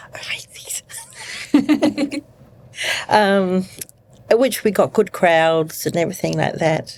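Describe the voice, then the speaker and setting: A woman at a medium pitch speaks at a very slow pace, with long, frequent pauses and very wide pitch swings. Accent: New Zealand. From New Zealand. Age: 60s. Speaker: nurse. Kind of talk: interview.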